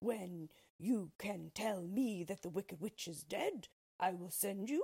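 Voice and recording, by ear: Reading aloud in a natural voice, the speaker uses ordinary pitch variation over a quiet background.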